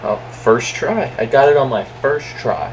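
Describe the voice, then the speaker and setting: A man talking at a fairly slow pace against noticeable background noise. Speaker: gamer recording gameplay commentary. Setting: at home, in own room.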